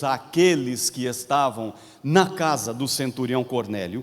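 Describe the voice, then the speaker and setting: A man at a very slow pace with lively intonation. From Paraná, Brazil (Londrina). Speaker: pastor. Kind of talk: sermon. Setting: convention center with congregation.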